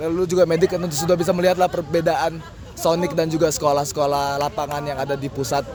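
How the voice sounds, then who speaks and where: A man's fairly high voice at a very fast pace, with fairly even intonation, hardly any pauses and music in the background. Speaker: student mentor. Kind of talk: interview answers, casual. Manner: casual slang.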